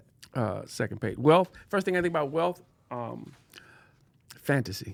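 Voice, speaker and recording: A man with vocal fry talks at a moderate pace and a fairly high pitch. His pitch swings very widely. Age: 60s. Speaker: podcast co-host and advocate. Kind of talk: casual chat.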